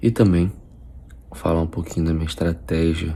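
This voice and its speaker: A man speaks quietly in a very deep, low voice. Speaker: nutritionist vlogger. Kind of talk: casual vlog. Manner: quiet, speaking low.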